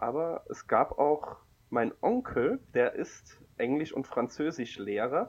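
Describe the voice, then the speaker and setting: A man speaks at a very slow pace. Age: 20s. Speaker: comic podcast co-host and blogger. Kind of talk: casual chat.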